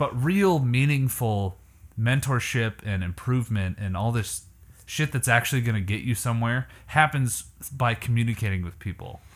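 Somewhat breathy, the man's voice rests at a medium pitch. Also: ordinary pitch variation, moderate pace. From Canada. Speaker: podcast host and musician. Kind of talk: casual chat.

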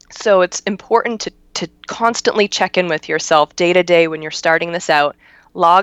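At a moderate pace and medium pitch, a woman speaks in a plain, everyday voice against a quiet background. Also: dry, close sound with no echo. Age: 30s. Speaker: CBD business owner. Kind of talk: interview.

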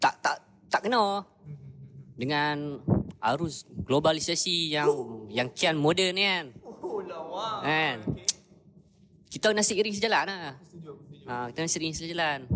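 This man has a fairly high pitch and lively intonation, speaking at a fairly slow pace with long, frequent pauses over noticeable background noise. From northern Peninsular Malaysia. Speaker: podcast guest. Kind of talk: casual chat.

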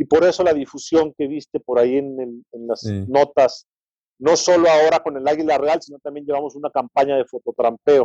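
The voice has a dark, mellow tone and ordinary pitch variation, moving at a fairly quick pace with big swings in loudness. The sound is dry and close with no echo. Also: man, fairly high pitch for a man. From Mexico, San Luis Potosí. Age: 40s. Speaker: wildlife photographer and conservationist. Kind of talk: interview conversation.

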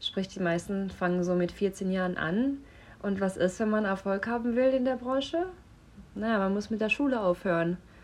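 A woman speaks with a medium pitch. Her pace is moderate and her pitch variation ordinary. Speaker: model and actress. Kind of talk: casual chat via voice notes.

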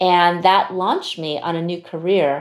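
A woman with an American accent has an unremarkable speaking voice, fairly low in pitch with fairly even intonation. She speaks at a fairly slow pace on a very clean recording with a silent background. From US (Chinese American). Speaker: CEO of a leadership institute. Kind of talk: interview conversation.

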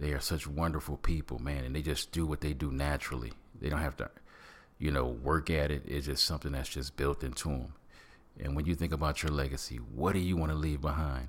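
The speaker has an American accent and a fairly quick pace. Vocal fry runs through the voice. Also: man, very deep, low pitch for a man. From Michigan. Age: 50s. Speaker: podcast host. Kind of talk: motivational monologue. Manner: animated.

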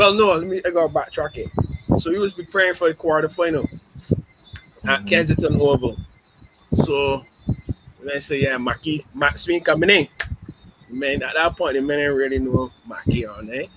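A man speaks with a fairly high pitch and ordinary pitch variation. His pauses are long and frequent, with noticeable background noise behind him. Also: moderate pace. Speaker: podcast co-host. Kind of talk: casual chat.

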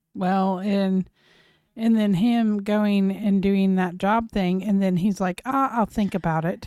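A woman with an American accent speaks very slowly at a medium pitch, her intonation fairly even and her loudness very even, on a very clean recording with a silent background. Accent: slight Southern twang, noticed by easterners. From Oklahoma. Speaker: podcast co-host. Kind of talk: casual chat.

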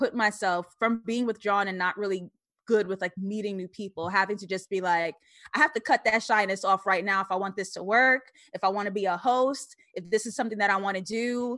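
In a very clean recording with a silent background, a woman with an American accent talks at a moderate pace in a bright, sharp, medium-pitched voice with fairly even intonation. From Queens, New York. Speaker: screenwriter and YouTuber. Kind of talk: casual chat.

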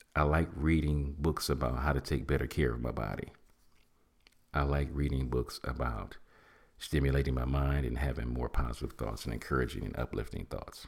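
With vocal fry and a very deep, low pitch, a man talks at a moderate pace in an animated tone. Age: 50s. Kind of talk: motivational talk.

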